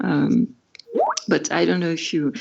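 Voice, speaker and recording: A woman with a French accent at a fairly slow pace. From France. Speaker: musician and writer on pop music. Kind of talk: casual chat. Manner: halting.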